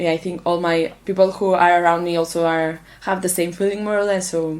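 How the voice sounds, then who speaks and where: In a Catalan accent, a woman talks at a fairly quick pace. Her fairly low voice has monotone, flat intonation. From Catalonia, Spain (Manresa). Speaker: international volunteer. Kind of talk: interview. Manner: halting.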